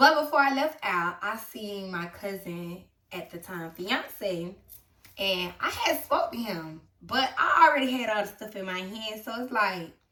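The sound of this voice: Speaking at a fairly slow pace, a woman uses lively intonation and a bright, sharp tone in a room with audible echo. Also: medium pitch for a woman.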